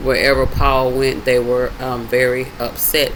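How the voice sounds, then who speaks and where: A man speaks in a fairly high pitch. Audible room echo and noticeable background noise are present. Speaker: bible study video host. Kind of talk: casual bible teaching.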